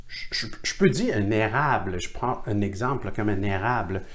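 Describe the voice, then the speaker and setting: Somewhat breathy, a man speaks with lively intonation. Room echo is audible. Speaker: teacher of Chinese divination. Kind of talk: online workshop lecture. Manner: halting.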